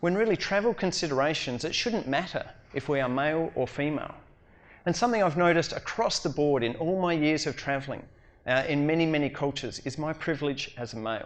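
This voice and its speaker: A fairly high-pitched man with an Australian accent, talking at a very fast pace against a quiet background. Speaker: educator and humanitarian speaker. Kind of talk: conference talk.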